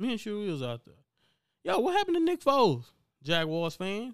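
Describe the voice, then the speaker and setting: A very clean recording, silent background, speech at a moderate pace. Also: man. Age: 20s. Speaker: sports podcast host. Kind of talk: casual solo sports talk. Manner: animated.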